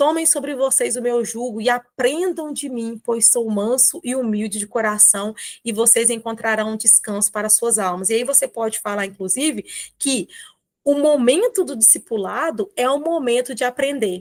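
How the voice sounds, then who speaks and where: The recording is very clean, its background silent. A woman talks there at a high pitch. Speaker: children's ministry teacher. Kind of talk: tutorial.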